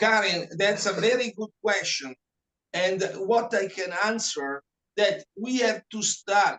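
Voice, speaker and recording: A man's high-pitched, bright and sharp voice with a non-native accent, ordinary pitch variation, a very slow pace, and a dry, close sound with no echo. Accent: foreign. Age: 70s. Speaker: reflexologist. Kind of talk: interview.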